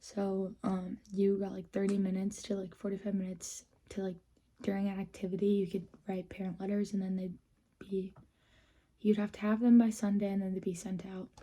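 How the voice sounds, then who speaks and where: A somewhat breathy woman with an American accent, medium in pitch, in a monotone with flat intonation at a fairly quick pace. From Minnesota. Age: 20s. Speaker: vlogger. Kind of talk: story time vlog. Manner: casual, many fillers.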